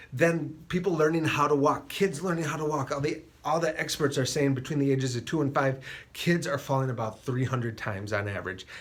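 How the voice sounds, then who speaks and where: A man talks at a fairly quick pace in a somewhat breathy voice. His pitch is fairly high and varies in an ordinary way. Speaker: chiropractor. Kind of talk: health talk to camera. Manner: fast.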